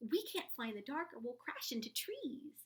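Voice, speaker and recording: A woman puts on a squeaky, high-pitched character voice at a moderate pace. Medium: read story.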